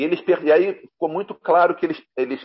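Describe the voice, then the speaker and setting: With an unremarkable speaking voice, a man talks at a moderate pace using lively intonation. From Rio de Janeiro, Brazil. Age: 50s. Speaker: comics journalist and translator. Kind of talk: casual interview chat.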